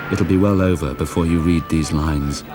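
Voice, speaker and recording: With music in the background, a man speaks at a moderate pace in a very deep, low pitch with ordinary pitch variation. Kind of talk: reading of a wartime letter. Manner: reflective, tender.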